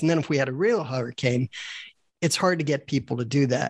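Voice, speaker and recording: A man with a plain, everyday voice, medium pitch and fairly quick pace. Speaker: co-host, retired surgeon. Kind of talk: interview questions.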